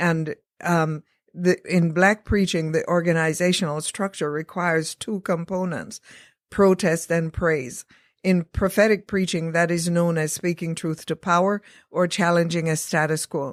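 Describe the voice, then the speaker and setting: In a very clean recording with a silent background and a dry, close sound with no echo, a woman speaks at a fairly slow pace in a flat monotone with a fairly low pitch. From England, born in Jamaica. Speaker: seminary professor and preacher. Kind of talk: interview.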